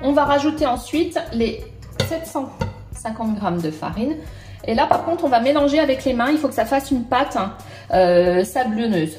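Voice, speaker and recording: With audible room echo and faint music in the background, a woman speaks at a fairly slow pace in a high pitch. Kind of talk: tutorial. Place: kitchen.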